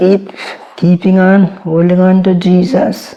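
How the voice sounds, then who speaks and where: A woman talks at a very slow pace. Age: 90s. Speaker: interviewee sharing life story. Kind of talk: interview.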